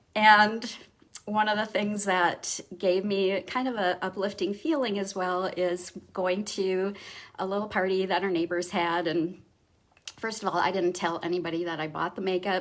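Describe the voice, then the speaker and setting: The intonation stays fairly even while the pace remains moderate. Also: woman, medium pitch for a woman. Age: 50s. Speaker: makeup artist and teacher. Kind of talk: casual talk to camera on a live stream.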